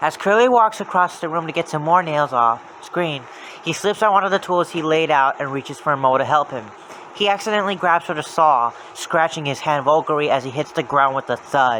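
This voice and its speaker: A man with a fairly high pitch and ordinary pitch variation talks at a fairly quick pace while noticeable background noise carries on. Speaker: creepypasta narrator. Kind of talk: horror story reading.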